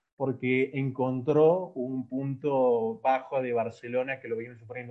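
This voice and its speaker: In a plain, everyday voice, a man of medium pitch speaks with hardly any pauses, fairly even intonation and big swings in loudness. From Ecuador. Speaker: football analyst. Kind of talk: casual football analysis chat.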